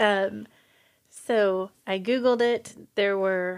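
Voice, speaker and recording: A woman's voice sits at a medium pitch, her intonation staying fairly even. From US Midwest, Kansas City area. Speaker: podcast host. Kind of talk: casual chat.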